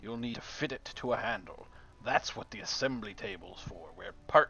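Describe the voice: What you hear is plain reading aloud.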